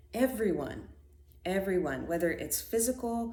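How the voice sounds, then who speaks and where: Recorded with audible room echo and noticeable background noise, a woman speaks with ordinary pitch variation. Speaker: spiritual podcaster. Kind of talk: casual monologue. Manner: hesitant, many fillers.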